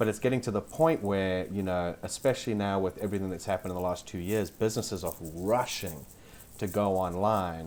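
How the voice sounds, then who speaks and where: The speaker has a South African accent. Pitch varies in an ordinary way. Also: man, very deep, low pitch for a man. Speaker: SEO specialist. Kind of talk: podcast interview.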